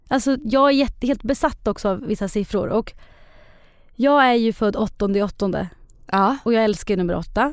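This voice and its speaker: A woman speaks at a moderate pace in a fairly high voice with lively intonation. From Sweden, Eskilstuna. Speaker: expectant mother. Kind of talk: casual chat.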